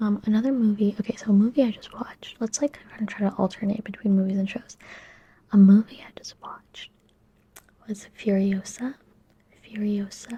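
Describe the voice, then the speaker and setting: Soft-spoken and somewhat breathy, a woman speaks in a calm, relaxed tone with a dark, mellow quality, a fairly high pitch, monotone, flat intonation, a fairly quick pace and long, frequent pauses. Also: big swings in loudness. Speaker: ASMR YouTuber. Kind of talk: soft-spoken ASMR movie and TV chat to camera. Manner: calm, soft-spoken, relaxed.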